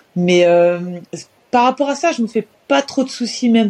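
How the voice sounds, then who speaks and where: With a normal speaking voice, a woman uses lively intonation at a fairly slow pace. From France, Orléans area. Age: 30s. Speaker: professional basketball player. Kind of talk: interview.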